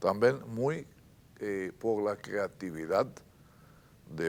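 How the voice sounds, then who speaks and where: Lively intonation in an Israeli accent. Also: man. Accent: Israeli Hebrew accent in Spanish. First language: Hebrew (speaking Spanish). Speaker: writer. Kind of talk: interview. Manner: halting.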